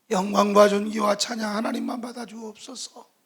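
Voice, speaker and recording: A man speaks at a high pitch and a fairly slow pace. His intonation stays flat and monotone. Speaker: missionary.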